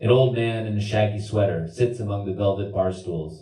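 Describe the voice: Someone reads a passage aloud in a plain manner.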